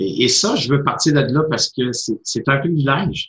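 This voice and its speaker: A man in a Quebec accent talks at a fairly slow pace, his voice somewhat breathy. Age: 50s. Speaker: motivational speaker and coach. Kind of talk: interview.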